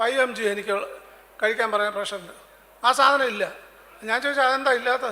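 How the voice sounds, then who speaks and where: A man speaks in a raised, projected voice at an extremely high pitch with fairly even intonation. Noticeable background noise sits behind him. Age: 70s. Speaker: bank pensioner. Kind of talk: public meeting speech.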